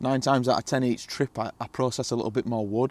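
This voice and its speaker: A man talks with a strong northern English accent. His voice sounds dry and close, with no echo. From northern England. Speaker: camping vlogger. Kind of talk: casual vlog monologue. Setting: outdoors in a hot tent. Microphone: new microphones.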